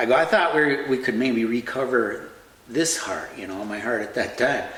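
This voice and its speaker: A man talks in an Upper Midwest accent with lively intonation. There is noticeable background noise and audible room echo. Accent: Upper Midwest (Minnesota). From Central Minnesota. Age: 60s. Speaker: heart transplant survivor. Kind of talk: personal storytelling. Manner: halting, many fillers and repeats.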